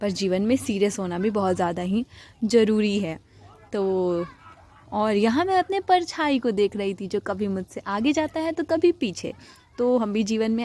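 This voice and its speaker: The woman speaking uses lively intonation. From rural north India, village. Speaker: vlogger. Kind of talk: vlog voice-over narration. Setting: rooftop outdoors.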